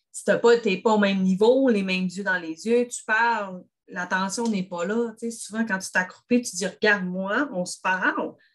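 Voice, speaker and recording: A woman speaks with ordinary pitch variation. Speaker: grief counsellor and therapist. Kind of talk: casual chat.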